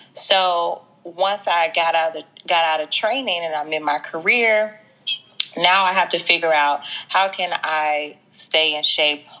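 Fairly slow and with ordinary pitch variation, a woman speaks in an American accent at a fairly low pitch. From US South, Mississippi. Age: 20s. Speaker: fitness franchise owner. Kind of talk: casual interview chat.

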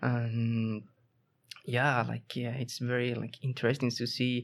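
A man speaks with a Spanish accent in a medium-pitched voice. His intonation is monotone and flat. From southern Spain, Seville. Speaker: master's student. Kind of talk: casual interview. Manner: halting, many repetitions.

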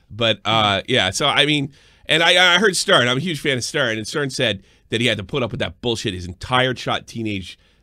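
Bright, sharp and animated, a man with a New York accent talks at a fairly quick pace and a medium pitch, his intonation lively. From New York area. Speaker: live stream show host. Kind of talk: casual reaction chat. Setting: live online stream. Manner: animated, profane.

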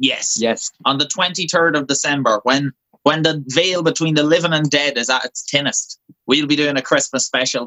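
A man with an Irish accent, fairly high pitch, fairly even intonation and a moderate pace. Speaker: folk band member. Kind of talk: casual interview.

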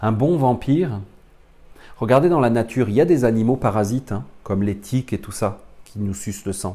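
This man speaks at a fairly slow pace. His medium-pitched voice has a dark, mellow tone. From France. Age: 40s. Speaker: spiritual teacher. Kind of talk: lecture. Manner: halting.

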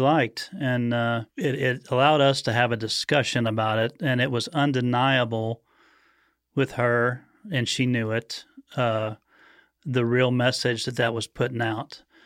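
A man with a plain, everyday voice talks at a moderate pace and medium pitch, keeping his intonation fairly even. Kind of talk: casual discussion.

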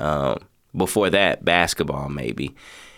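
Lively intonation and vocal fry at a fairly slow pace, on a very clean recording with a silent background. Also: man. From Lexington, Kentucky. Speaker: hip hop artist and motivational speaker. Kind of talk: casual interview. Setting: radio studio.

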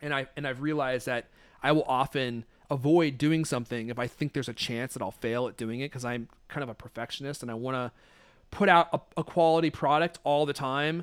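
A man with an American accent and a normal speaking voice talks at a fairly quick pace, his pitch fairly high for a man and his intonation fairly even, in a very clean recording with a silent background and a dry, close sound with no echo. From Redmond, Washington, US Pacific Northwest. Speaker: podcast host. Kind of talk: casual interview chat.

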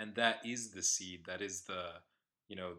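With an American accent, a man speaks in a very deep, low pitch, his tone bright and sharp and his intonation fairly even. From United States. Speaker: podcast co-host. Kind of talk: casual chat.

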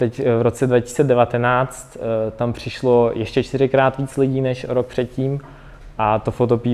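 A man at medium pitch speaks at a fairly slow pace in a monotone, flat intonation. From Ukraine. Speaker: software developer. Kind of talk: presentation. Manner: halting, many fillers.

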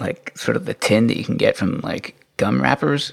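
In a dry, close sound with no echo, a man speaks at a moderate pace. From England, moved to Canada as a teen. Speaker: tech commentator. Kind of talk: casual chat.

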